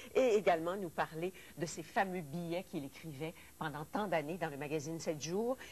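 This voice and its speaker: A woman speaks in an ordinary speaking voice with a fairly low pitch. Her pitch moves with ordinary variation. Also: moderate pace. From Quebec. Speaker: TV host. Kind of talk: TV talk show. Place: studio. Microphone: lapel.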